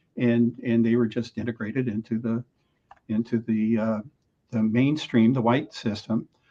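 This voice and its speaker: A dark, mellow tone at a fairly slow pace. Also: man. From US Midwest (Alton, Illinois). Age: 70s. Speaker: public radio director and interviewer. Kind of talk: casual interview conversation. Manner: hesitant, many fillers.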